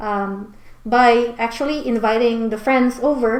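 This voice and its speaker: A woman's fairly high voice carries through noticeable background noise. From Philippines. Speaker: immigration consultant. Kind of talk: mock speaking exam answers. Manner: hesitant, many fillers.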